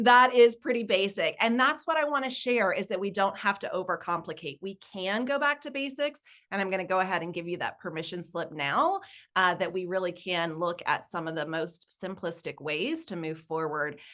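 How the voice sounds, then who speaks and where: In a Southern US accent, a woman talks at a moderate pace with a medium pitch and a bright, sharp tone. Her pitch swings very widely over a quiet background. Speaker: nonprofit fundraising consultant. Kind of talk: webinar presentation. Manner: casual.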